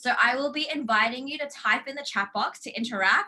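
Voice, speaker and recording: An Australian accent carries this woman's animated, bright, sharp tone as she talks at a fairly quick pace with ordinary pitch variation. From Australia, Brisbane. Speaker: life coach. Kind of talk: online workshop.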